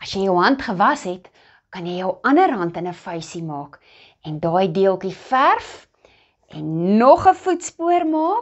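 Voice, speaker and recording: Her intonation is lively as the woman talks. Little is heard behind her, since the background is quiet. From South Africa. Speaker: children's Bible lesson teacher. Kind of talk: children's Bible lesson. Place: home room.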